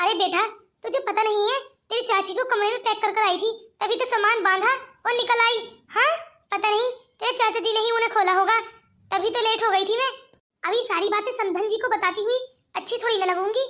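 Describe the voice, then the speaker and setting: Using a cartoonish character voice, a woman speaks at an extremely high pitch and a fairly quick pace, with fairly even intonation, very even loudness and long, frequent pauses. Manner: chatty, evasive.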